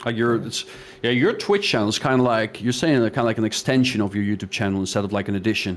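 A man with a non-native accent talks at a very fast pace. His pitch is medium, with ordinary variation. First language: not English. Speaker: gaming youtuber. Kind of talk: casual chat.

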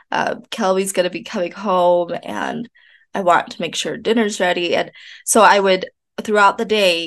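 Against a quiet background, a woman with vocal fry talks at medium pitch and a fairly slow pace, her intonation fairly even. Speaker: podcast host. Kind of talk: casual chat.

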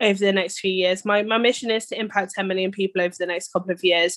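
A woman speaks with a British accent. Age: 30s. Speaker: entrepreneur. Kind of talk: casual chat.

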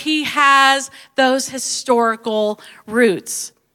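The speaker uses an animated tone with a Southern US accent. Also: woman. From US Deep South. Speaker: pastor. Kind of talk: sermon.

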